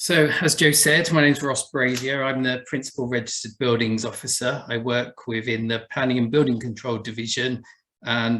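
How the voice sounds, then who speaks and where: A man with an Essex accent, medium pitch, moderate pace and ordinary pitch variation. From Essex, England. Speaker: buildings conservation officer. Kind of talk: presentation talk.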